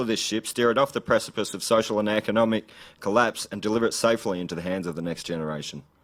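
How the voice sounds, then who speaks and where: A man with an Australian accent talks at a very fast pace, his pitch sitting in the middle range. The recording is very clean, with a silent background. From Australia, rural Gippsland, Victoria. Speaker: political candidate. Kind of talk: political speech. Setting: live event with audience.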